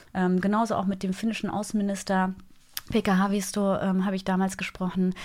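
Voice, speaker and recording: Monotone, flat intonation marks a woman's speech, delivered at a moderate pace. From Germany, Eifel. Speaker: TV news anchor and journalist. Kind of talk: interview. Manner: cheerful, laughs often.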